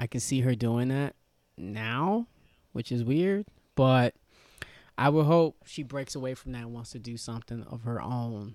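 A man with a New York accent at a medium pitch, fairly slow with long, frequent pauses, ordinary pitch variation and big swings in loudness, in a dry, close recording with no echo and a silent, very clean background. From New York (Yonkers). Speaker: comedian. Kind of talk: casual chat.

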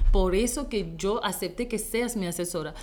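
The woman has an unremarkable speaking voice with ordinary pitch variation. Her pitch is medium and her pace moderate. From Haiti. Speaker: image consultant and entrepreneur. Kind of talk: interview.

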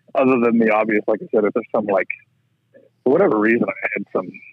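This is a man. His pitch sits at medium. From southwestern Ontario, Canada. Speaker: rink builder, farmer. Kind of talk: casual interview chat.

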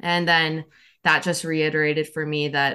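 In a quiet setting, a woman with an American accent talks at a moderate pace in a very deep, low voice, her tone bright and sharp and her intonation flat and monotone. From Nebraska, US Midwest. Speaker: medical student. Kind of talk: interview.

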